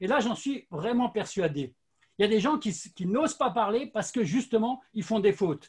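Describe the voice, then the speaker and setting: At a moderate pace, a man talks in a high voice with lively intonation. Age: 60s. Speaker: sales and social selling expert. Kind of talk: interview.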